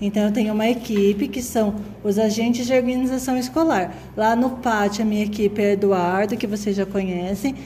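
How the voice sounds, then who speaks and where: With noticeable background noise and audible room echo, a woman talks at a moderate pace with hardly any pauses, her fairly high pitch showing ordinary variation. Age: 30s. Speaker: school administrator. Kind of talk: interview.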